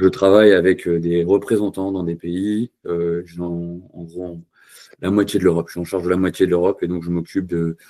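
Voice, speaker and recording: In a very clean recording with a silent background, a man with a very deep, low, dark and mellow voice speaks at a moderate pace in a flat monotone, his loudness swinging widely. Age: 30s. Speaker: engine sales representative and tractor pulling federation member. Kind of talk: interview. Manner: hesitant, many fillers.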